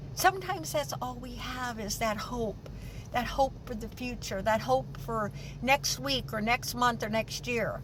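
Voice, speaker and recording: There's noticeable background noise as a woman with an American accent talks with big swings in loudness. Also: fairly slow pace. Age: 70s. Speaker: vlogger. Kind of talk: personal vlog monologue. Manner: halting.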